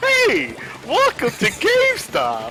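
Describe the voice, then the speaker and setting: The speaker uses a put-on character voice. Clear background noise can be heard. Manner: cheerful.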